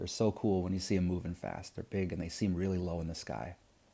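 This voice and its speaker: A man with a very deep, low voice, vocal fry and a dark, mellow tone talks at a very fast pace with ordinary pitch variation. The recording is very clean, with a silent background. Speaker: science teacher. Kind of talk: lecture. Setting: recorded video lesson. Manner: casual, many fillers.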